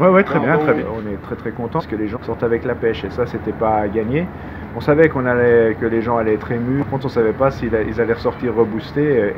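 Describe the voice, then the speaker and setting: A man with a strong Savoyard accent at a fairly quick pace, over noticeable background noise. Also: medium pitch for a man, ordinary pitch variation. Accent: strong regional Savoyard. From Savoie, France. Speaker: documentary filmmaker. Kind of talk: interview answer. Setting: Parisian café. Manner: gentle, calm tempo.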